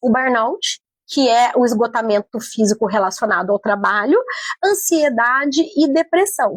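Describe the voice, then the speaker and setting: With a dry, close sound and no echo, a woman speaks fairly slowly in a high, animated voice with very wide pitch swings and very even loudness. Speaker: psychologist and HR consultant. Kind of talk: radio interview.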